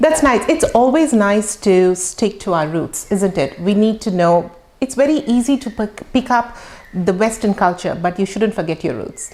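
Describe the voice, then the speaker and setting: There is noticeable background noise as a woman speaks at a moderate pace. Her voice sits at medium pitch with lively intonation. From India. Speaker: podcast host. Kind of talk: interview.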